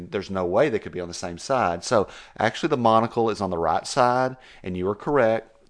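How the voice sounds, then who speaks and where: Talking at a fairly quick pace, a man with a West Texas accent shows ordinary pitch variation. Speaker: podcast co-host at an animal hospital. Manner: slangy, casual speech.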